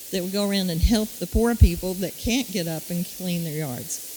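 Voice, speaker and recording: A woman speaks fairly quickly while noticeable background noise carries on. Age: 70s. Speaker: city council candidate. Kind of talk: candidate forum answer.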